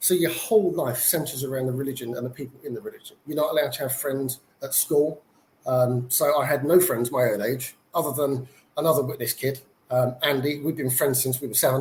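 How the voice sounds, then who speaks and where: He speaks with a British accent at a fairly quick pace. This man's pitch is fairly high and his intonation fairly even. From UK. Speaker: former Jehovah's Witness. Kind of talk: testimony.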